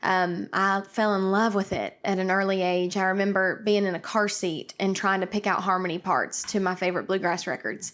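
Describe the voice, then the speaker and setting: Speaking with an East Tennessee accent at a moderate pace, a woman keeps a medium pitch, monotone, flat intonation, very even loudness and hardly any pauses. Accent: East Tennessee Southern. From East Tennessee (Karns, near Knoxville). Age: 20s. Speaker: country singer. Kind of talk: interview. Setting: video call from home kitchen.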